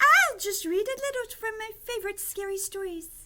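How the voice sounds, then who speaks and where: At a moderate pace, a put-on character voice comes out squeaky with an extremely high pitch. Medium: read story.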